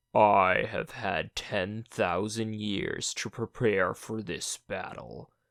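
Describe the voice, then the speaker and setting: Using a put-on character voice, a man speaks very slowly and raspy at a fairly low pitch, with fairly even intonation and hardly any pauses. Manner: menacing, hissing.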